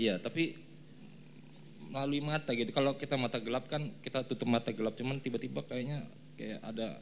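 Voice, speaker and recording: Vocal fry colors a man's medium-pitched voice. He talks at a very fast pace with ordinary pitch variation. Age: 30s. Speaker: congregant giving testimony. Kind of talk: testimony interview. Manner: halting.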